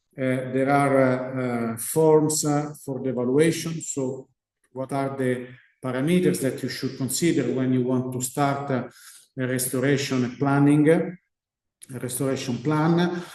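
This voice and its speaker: Audible room echo surrounds a man with an Italian accent, whose dark, mellow tone sits at a medium pitch with fairly even intonation at a fairly slow pace. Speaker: research scientist. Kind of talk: lecture. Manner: halting.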